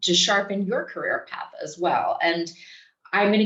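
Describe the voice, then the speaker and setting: A woman with an American accent talks at a moderate pace with ordinary pitch variation, in an ordinary speaking voice. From United States. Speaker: think tank director, selection committee member. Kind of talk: prepared remarks at online info session. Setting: video call.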